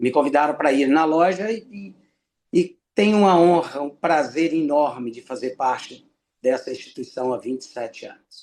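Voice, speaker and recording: The speaker has a plain, everyday voice with ordinary pitch variation. The pace is moderate, and the loudness swings widely. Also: man, fairly high pitch for a man. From Brazil, Minas Gerais (Ipanema). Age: 60s. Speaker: freemason lecturer. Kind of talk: lecture.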